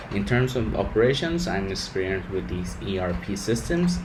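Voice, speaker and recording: A man with a Spanish accent swings his pitch very widely, with audible room echo and noticeable background noise. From Mexico. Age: 20s. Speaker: engineer. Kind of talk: rehearsed interview answers. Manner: halting.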